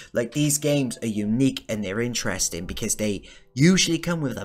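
With faint music in the background, a man talks at a fairly quick pace with ordinary pitch variation. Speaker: gaming video creator. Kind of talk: game review commentary. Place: home room. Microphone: studio mic.

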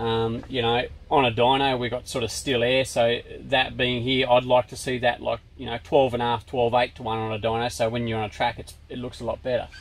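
This man speaks fairly quickly in an Australian accent with monotone, flat intonation. The sound is dry with no echo. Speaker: dyno tuner. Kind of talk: technical explanation. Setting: workshop. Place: workshop.

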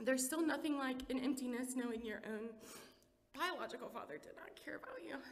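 A woman talks at a fairly quick pace in a high voice with ordinary pitch variation. Her loudness swings a lot. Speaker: church member giving testimony. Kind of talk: testimony. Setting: church with audience. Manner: fast talker when nervous. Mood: emotional, tearful at times. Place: church. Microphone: podium.

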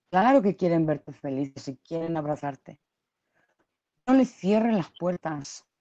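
Against a quiet background, a woman with a fairly low pitch and a dark, mellow tone speaks at a fairly slow pace, with very wide pitch swings and long, frequent pauses. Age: 30s. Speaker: YouTube live-stream host. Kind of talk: casual live-stream gossip chat. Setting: at home. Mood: emotional, reproachful. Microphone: video call.

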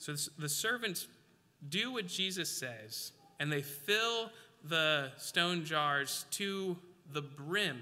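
Speaking at a very slow pace with long, frequent pauses, a man uses a fairly high pitch, lively intonation and a bright, sharp tone. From Alaska. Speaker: preacher. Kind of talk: sermon. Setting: church. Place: church.

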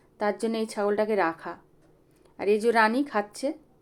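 Over a silent background in a very clean recording, a woman talks in a normal speaking voice at a fairly high pitch. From West Bengal, South 24 Parganas (Sundarbans). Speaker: vlogger and goat farmer. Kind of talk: casual vlog narration. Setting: goat shed on farm.

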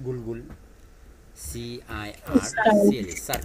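This is a man speaking. His pitch is medium.

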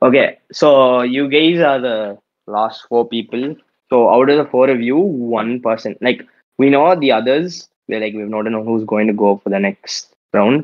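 In a quiet background, a man talks at a fairly slow pace with ordinary pitch variation. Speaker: event judge. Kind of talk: casual chat. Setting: video call. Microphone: video call.

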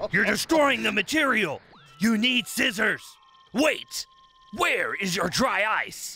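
A man with a high voice projects loudly, speaking fairly slowly with long, frequent pauses. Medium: comedy sketch. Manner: lecturing, exasperated.

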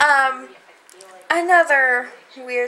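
A woman with a Southern US accent speaks in a raised, projected voice. Her pitch is high. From US South. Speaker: vlogger. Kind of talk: casual vlog. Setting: at home, in bed. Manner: chatty, casual, uses filler words. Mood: cheerful, smiling. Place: home room. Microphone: phone near.

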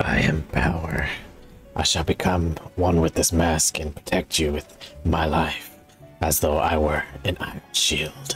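Over clear music in the background, a man puts on a character voice with a very deep, low pitch, talking at a moderate pace with long, frequent pauses. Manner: dramatic, solemn.

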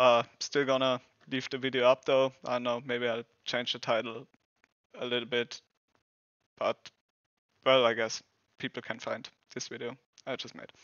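A man with a German accent, medium pitch and a fairly bright tone, monotone and flat in intonation, at a moderate pace with long, frequent pauses, in a dry, close sound with no echo.

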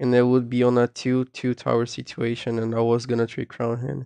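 A man talks at a medium pitch against a quiet background. The sound is dry and close, with no echo. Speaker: gaming YouTuber. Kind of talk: casual gameplay commentary; angry rant mid-match, cursing at opponent. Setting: screen-recorded gameplay voiceover. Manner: casual, chatty, self-deprecating humor.

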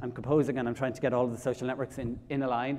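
A man speaks with an Irish accent. His pace is very fast. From Ireland, County Kilkenny; Ireland. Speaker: public speaker on mental health; public speaker. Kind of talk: conference talk. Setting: stage with audience. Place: hall.

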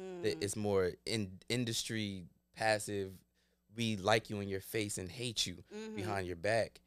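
A man talks at a fairly slow pace in a fairly low pitch with fairly even intonation, an ordinary speaking voice, in a dry sound with no echo and a quiet background. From Glassboro, New Jersey, US; New Jersey. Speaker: actor. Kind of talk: casual chat. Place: studio. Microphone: studio mic.

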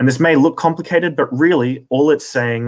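With an Australian accent, a man speaks using ordinary pitch variation. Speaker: astronomy commentator. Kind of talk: lecture.

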